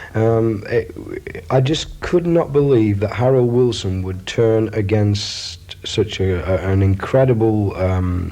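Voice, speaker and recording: Over noticeable background noise, a man with a fairly low-pitched voice speaks at a very slow pace with ordinary pitch variation. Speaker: radio DJ. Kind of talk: interview answer.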